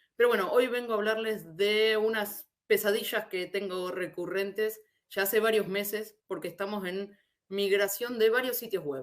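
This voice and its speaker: A woman speaks at medium pitch with an Argentine accent. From Argentina. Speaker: SEO specialist. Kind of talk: conference talk. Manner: hesitant, frequent repetitions.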